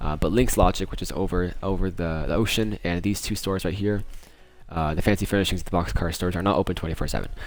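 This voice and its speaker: The speech moves at a very fast pace with fairly even intonation. Music plays in the background. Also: man. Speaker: gaming YouTuber. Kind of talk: game tutorial walkthrough. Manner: halting, many fillers.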